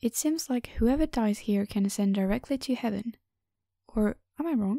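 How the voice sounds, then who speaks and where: A woman with a non-native accent, a fairly high pitch and a dark, mellow tone, at a moderate pace with ordinary pitch variation, on a very clean recording with a silent background. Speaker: audiobook narrator. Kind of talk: reading aloud.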